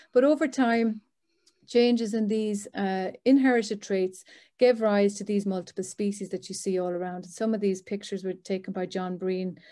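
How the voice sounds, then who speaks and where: Speaking with an Irish accent, a woman uses a medium pitch and a dark, mellow tone, with ordinary pitch variation and big swings in loudness. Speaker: professor. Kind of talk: lecture. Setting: video call. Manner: fast.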